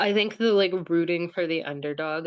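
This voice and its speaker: A woman's fairly low-pitched voice at a moderate pace, with ordinary pitch variation. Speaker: dreamer sharing a dream. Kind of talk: dream interpretation session.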